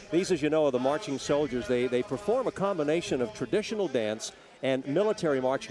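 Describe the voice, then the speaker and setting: Over noticeable background noise, a speaker with an American accent talks at a very fast pace with lively intonation. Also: man. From Greek American. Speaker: TV news anchor. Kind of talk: live parade broadcast.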